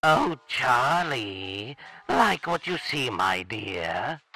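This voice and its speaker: A put-on character voice, raspy and set at a low-to-middle pitch. It moves at a very slow pace. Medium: dub. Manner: smooth, flirtatious.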